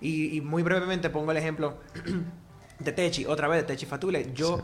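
A man with a fairly high pitch speaks at a fairly quick pace in a normal speaking voice. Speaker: singer and music therapist. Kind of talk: casual chat.

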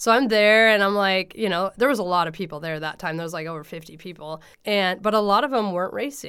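On a very clean recording with a silent background, a woman in a West Coast accent speaks at a very fast pace, with a medium pitch, ordinary pitch variation and a bright, sharp tone. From US Pacific Northwest, Oregon (Coos Bay, Portland area). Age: 30s. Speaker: runner and running coach. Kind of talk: casual interview. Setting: in person, close together.

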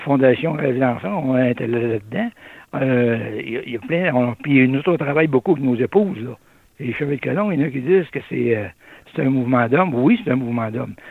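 A man with a Québécois accent talks at a fairly quick pace with ordinary pitch variation. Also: medium pitch for a man. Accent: rural Québécois French. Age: old. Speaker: retired trucker, community volunteer. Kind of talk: radio interview.

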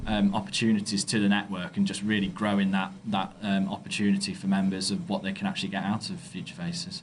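A man speaks very fast in an East Midlands accent, with hardly any pauses. His pitch is fairly low, with ordinary variation. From Derby, England. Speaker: head of marketing, network committee member. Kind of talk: interview.

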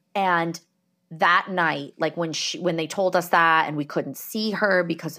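Speaking with a New Jersey accent, a woman uses fairly low pitch and a bright, sharp tone at a fairly slow pace, on a very clean recording with a silent background. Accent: New Jersey American. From New Jersey, US. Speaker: podcast host. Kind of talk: interview, personal testimony.

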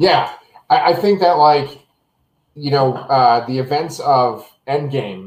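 A man has an unremarkable speaking voice with a fairly high pitch. His pitch varies in an ordinary way. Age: 30s. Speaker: podcast host, Marvel show reviewer. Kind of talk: casual chat. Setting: video call from his kitchen.

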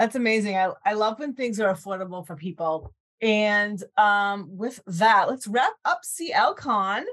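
A woman talks at a fairly slow pace in a plain, everyday voice. Her pitch sits fairly high. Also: ordinary pitch variation. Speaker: podcast host. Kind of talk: interview.

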